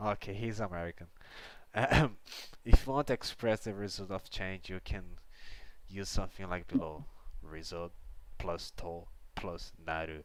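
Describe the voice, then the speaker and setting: A man's very deep, low voice in a Brazilian accent, with big swings in loudness and long, frequent pauses. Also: ordinary pitch variation, moderate pace. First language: Portuguese. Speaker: livestreamer learning Japanese. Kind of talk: casual live study stream. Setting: livestream. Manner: halting, self-correcting.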